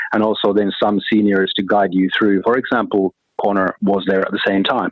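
A man with a Finnish accent, fairly low in pitch, flat and monotone, at a moderate pace. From Finland. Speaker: corporate treasurer. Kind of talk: interview.

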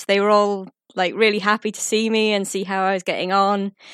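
The recording of this woman is very clean with a silent background, and the sound is dry and close with no echo. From Orkney, Scotland. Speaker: travel blogger. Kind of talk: recorded contribution.

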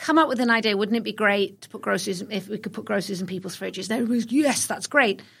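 A woman with a British accent and a fairly high pitch talks at a very fast pace in a very clean recording with a silent background. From England (London). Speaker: retail executive. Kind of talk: interview.

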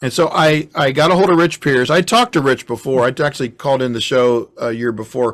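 This is a normal speaking voice from a man at medium pitch, moving fairly quickly with hardly any pauses and ordinary pitch variation. The recording is very clean, with a silent background. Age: 60s. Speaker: pastor and musician. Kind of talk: casual chat. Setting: home recording studio.

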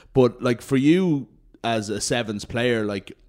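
With an Irish accent, a man talks in a very clean recording against a silent background. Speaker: rugby podcast host. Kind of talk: casual chat.

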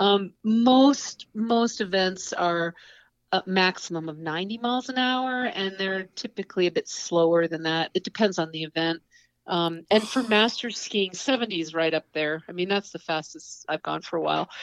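With an American accent and a normal speaking voice, a woman talks at a moderate pace and medium pitch with ordinary pitch variation, recorded with a dry, close sound with no echo against a quiet background. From upstate New York (Adirondacks). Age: 50s. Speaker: outdoor writer, TV producer and champion skier. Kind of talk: interview.

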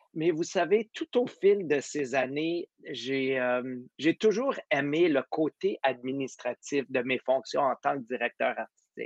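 Speaking at a very slow pace with hardly any pauses, a man has a fairly high pitch and ordinary pitch variation. The sound is dry and close, with no echo. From Quebec. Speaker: orchestra conductor and competition director. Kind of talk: casual interview.

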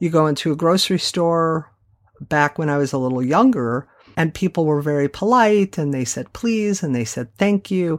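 A woman talks at a moderate pace with lively intonation and a fairly low pitch. The recording is very clean, with a silent background. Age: 50s. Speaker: podcast host and former therapist. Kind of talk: monologue podcast episode. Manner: animated.

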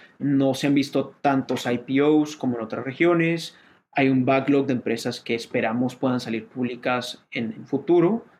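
A man in a plain, everyday voice speaks at a fairly slow pace, with a medium pitch and ordinary pitch variation. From Colombia. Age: 30s. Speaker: venture capital investor. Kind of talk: interview.

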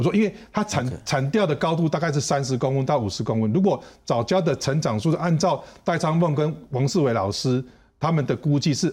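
A man speaks at a fairly high pitch with a somewhat breathy voice, lively intonation and a fairly quick pace. His loudness stays very even, and the recording is very clean with a silent background. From Taiwan, Taichung. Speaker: marine biodiversity researcher. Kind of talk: interview.

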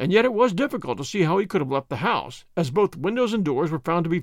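Reading aloud plainly, the speaker keeps the intonation lively.

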